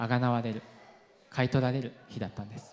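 A man with an English accent is heard over light background noise. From UK. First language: English (speaking Japanese). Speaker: pastor. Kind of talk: sermon. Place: church. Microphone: handheld.

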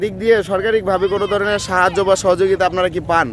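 A man's high-pitched voice with ordinary pitch variation, dry with no echo, over light background noise. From Bangladesh. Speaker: YouTube interviewer. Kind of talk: street interview. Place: waterside.

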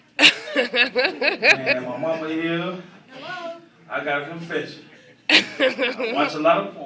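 In a room with audible echo and light background noise, a man with a high pitch uses a raised, projected voice at a very slow pace, with very wide pitch swings and big swings in loudness. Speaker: comedian. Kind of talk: stand-up. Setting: stage with audience. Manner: animated. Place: stage.

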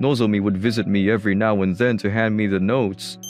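Faint music plays behind speech delivered at a moderate pace, and the sound is dry with no echo. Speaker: comic dub voice actor, narrator. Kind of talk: dramatic narration and character dialogue. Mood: worried, unwell.

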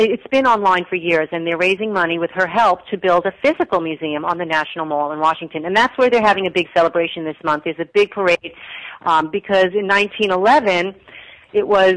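A woman's fairly quick, medium-pitched speech in an ordinary speaking voice, with ordinary pitch variation and a dry, close sound with no echo. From New York. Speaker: women's history presenter. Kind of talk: interview.

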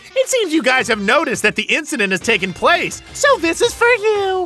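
Clear music sits behind a high-pitched, put-on character voice. The pitch swings very widely and the pace is fairly quick. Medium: game stream. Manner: playful, mocking, sing-song.

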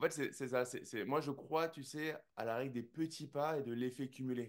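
A man with an ordinary speaking voice talks at a moderate pace. His intonation stays fairly even against a quiet background. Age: 40s. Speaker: jiu-jitsu champion and entrepreneur; interview guest. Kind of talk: interview. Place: home room. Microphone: studio mic.

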